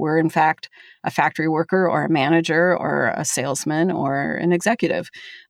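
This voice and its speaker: In an American accent, a woman with an ordinary speaking voice talks at a fairly quick pace, the sound dry and close with no echo on a very clean recording with a silent background. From Minnesota. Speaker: historian, author. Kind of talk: interview.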